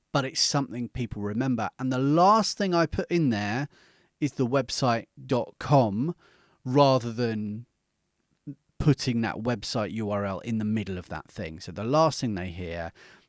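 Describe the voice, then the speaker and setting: On a very clean recording with a silent background, a man with a British accent speaks at a medium pitch with lively intonation, the sound dry and close with no echo. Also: moderate pace. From Britain. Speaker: podcast coach. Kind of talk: tutorial. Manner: conversational, with fillers.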